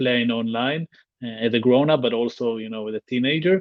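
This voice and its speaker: Speaking with an Israeli accent, a man talks at a fairly quick pace with fairly even intonation. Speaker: tech company founder. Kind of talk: interview. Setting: livestream. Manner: halting, repeats words.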